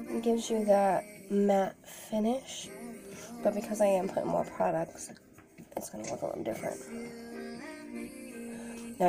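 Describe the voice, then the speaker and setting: A woman speaks at a fairly quick pace. Clear music plays in the background. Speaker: beauty vlogger. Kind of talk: makeup tutorial. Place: home room. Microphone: phone near.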